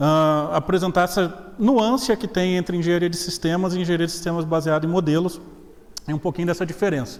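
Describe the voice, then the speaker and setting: A high-pitched man's voice with a slight Minas Gerais accent, fairly quick, with ordinary pitch variation. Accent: slight Minas Gerais (mineiro). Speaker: professor. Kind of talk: lecture. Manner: casual, joking.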